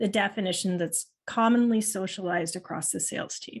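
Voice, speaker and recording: At a moderate pace, a woman speaks in a somewhat breathy voice with ordinary pitch variation against a quiet background. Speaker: marketing analytics trainer. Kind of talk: webinar presentation.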